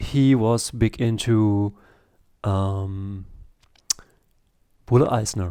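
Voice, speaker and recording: A man speaks at a medium pitch with a German accent. His tone is dark and mellow, his intonation fairly even. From Germany, Italian family. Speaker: comic artist and YouTuber. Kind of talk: casual video review monologue. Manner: halting, many fillers.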